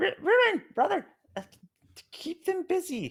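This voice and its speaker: Whispering in a breathy, put-on character voice, a man speaks at a fairly slow pace. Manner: stage whisper, loud and breathy, meant to be overheard.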